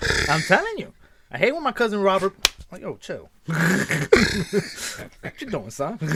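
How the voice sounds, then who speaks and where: A man's high voice at a fairly slow pace, with very wide pitch swings, big jumps in loudness and noticeable background noise. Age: 40s. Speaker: podcast host. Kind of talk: casual chat. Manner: animated.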